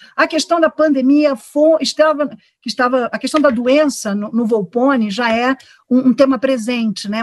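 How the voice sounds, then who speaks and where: A woman with a high voice speaks at a moderate pace with ordinary pitch variation, in a dry, close sound with no echo. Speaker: theatre director. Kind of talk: online panel discussion. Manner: hesitant, many fillers.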